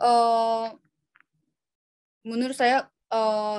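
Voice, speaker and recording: A woman with a high voice speaks with a Korean accent. The sound is dry and close, with no echo. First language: Korean (speaking Indonesian). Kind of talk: webinar Q&A answers. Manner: halting, many fillers.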